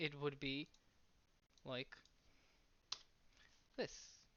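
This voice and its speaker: A woman is speaking. She has a non-native accent. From outside the US. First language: not English. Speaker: math explainer / vlogger. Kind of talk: tutorial. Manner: halting.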